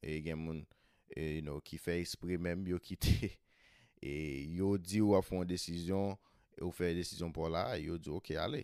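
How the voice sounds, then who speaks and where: A man's very deep, low voice with a Haitian accent, in a dark, mellow tone with fairly even intonation, at a moderate pace with long, frequent pauses, in a very clean recording with a silent background. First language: Haitian Creole. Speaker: podcast host. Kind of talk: podcast intro and summary in Creole.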